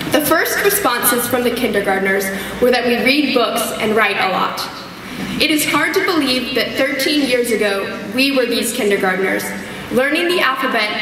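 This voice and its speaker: There is noticeable background noise and audible room echo. A woman speaks at a high pitch and a moderate pace. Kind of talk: graduation speech. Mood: warm, lightly humorous. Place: hall. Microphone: podium.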